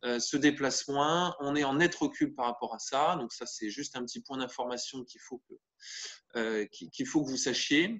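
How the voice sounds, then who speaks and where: A man speaks at a fairly high pitch with ordinary pitch variation. His loudness swings widely. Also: moderate pace. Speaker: volleyball trainer running a parent training webinar. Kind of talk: online training webinar. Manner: hesitant, many fillers and repetitions.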